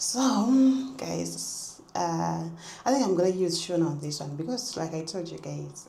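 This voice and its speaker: Audible room echo and noticeable background noise surround a woman speaking at a fairly slow pace. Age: 20s. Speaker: vlogger. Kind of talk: casual chat.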